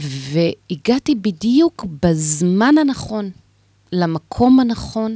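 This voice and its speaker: The voice has a dark, mellow tone and very wide pitch swings, with a dry, close sound and no echo. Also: woman. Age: 50s. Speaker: women's organization chair. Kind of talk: radio interview. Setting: radio studio.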